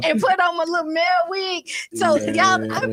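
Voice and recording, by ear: A woman speaks at a fairly quick pace, with noticeable background noise around her.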